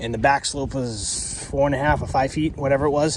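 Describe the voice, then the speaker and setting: A man talks at a fairly high pitch. Noticeable background noise is present. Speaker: pool service business owner. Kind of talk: on-site tutorial. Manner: fast; casual, filler-heavy.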